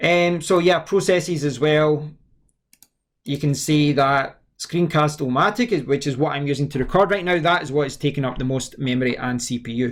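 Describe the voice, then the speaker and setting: A man's fairly high voice with a Scottish accent and ordinary pitch variation. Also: moderate pace. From Scotland. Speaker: tech reviewer. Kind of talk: tutorial. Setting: screen recording with webcam. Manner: halting.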